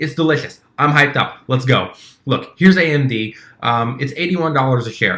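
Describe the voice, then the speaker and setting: Pitched fairly high, a man speaks at a fairly quick pace with lively intonation. His tone is bright and sharp. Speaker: stock trading youtuber. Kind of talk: tutorial. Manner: fast.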